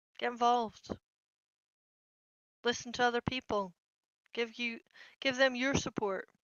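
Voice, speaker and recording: Loud and high-pitched, a woman speaks at a moderate pace in a monotone, flat intonation, with long, frequent pauses. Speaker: mental health workshop host. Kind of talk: workshop talk reading chat messages aloud.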